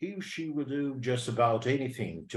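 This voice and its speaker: A man talks with a British accent and a somewhat breathy voice. His pitch variation is ordinary. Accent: British-leaning English. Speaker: English teacher. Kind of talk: lecture. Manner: repetitive, slow and deliberate.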